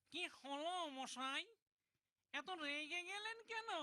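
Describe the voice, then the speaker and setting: The pitch sits extremely high. It is a cartoonish character voice. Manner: obsequious, pleading.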